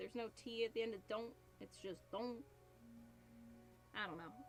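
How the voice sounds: With music in the background, a woman in a New Jersey accent speaks at a fairly high pitch and a moderate pace.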